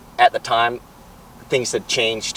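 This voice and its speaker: This man has an American accent and a medium pitch. He talks at a fairly slow pace with monotone, flat intonation. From southern Utah, US. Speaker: construction business owner. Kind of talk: interview. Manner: halting, repeats words.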